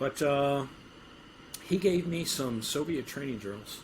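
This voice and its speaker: Audible room echo hangs around a man as he talks. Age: 60s. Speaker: strength and conditioning coach. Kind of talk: interview. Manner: halting.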